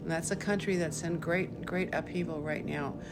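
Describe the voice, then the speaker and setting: Fairly low woman's voice with music in the background and audible room echo. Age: 70s. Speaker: lawyer and refugee resettlement volunteer. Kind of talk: podcast interview explaining to children. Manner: simple, storytelling tone for kids.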